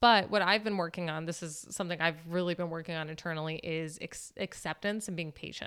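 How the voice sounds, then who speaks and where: In a plain, everyday voice, a woman with an American accent talks at a fairly quick pace with fairly even intonation and a fairly low pitch. The recording is very clean, with a silent background. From Florida. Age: 30s. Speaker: dancer. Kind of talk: casual chat.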